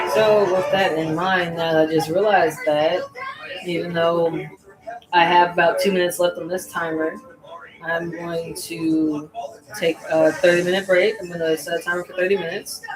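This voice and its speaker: With noticeable background noise behind her, a woman speaks at a fairly low pitch, a moderate pace and with fairly even intonation. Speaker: crochet content creator. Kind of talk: casual livestream chat while crocheting. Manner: loud.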